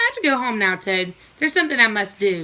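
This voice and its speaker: A woman rattles off lines at a very fast pace in a put-on character voice, pitched fairly high. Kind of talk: classroom read-aloud. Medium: read story.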